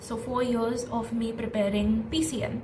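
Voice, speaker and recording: A woman with a fairly high pitch and ordinary pitch variation speaks over noticeable background noise, with audible room echo. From India. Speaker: young entrepreneur and content creator. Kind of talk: personal vlog storytelling. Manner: casual, code-switching with Hindi.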